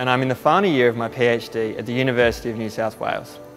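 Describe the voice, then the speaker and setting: A man talking at a very fast pace over faint music in the background. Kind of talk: interview explanation. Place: workshop. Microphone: lapel.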